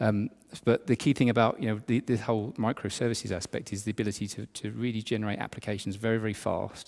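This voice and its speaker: The man's voice sits fairly low in pitch. He talks very fast with fairly even intonation. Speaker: tech industry conference speaker. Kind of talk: conference talk. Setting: stage with audience. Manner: hesitant, many fillers.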